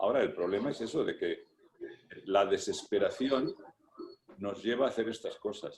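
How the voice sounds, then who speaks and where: A man pauses long and often while keeping a moderate pace. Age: 60s. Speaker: cardiologist. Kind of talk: casual chat. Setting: video call.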